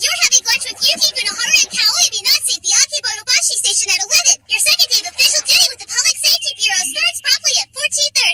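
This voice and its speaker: Put-on character voice at an extremely high pitch, very fast with hardly any pauses. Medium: fan dub. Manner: chipper, upbeat.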